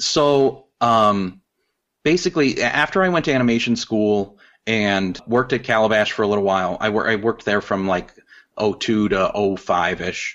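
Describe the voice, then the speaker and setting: Against a quiet background, a man with an American accent and an ordinary speaking voice talks at a moderate pace in a fairly low pitch, his intonation lively and his loudness very even. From Chicago south suburbs. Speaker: animator and illustrator. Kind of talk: casual interview.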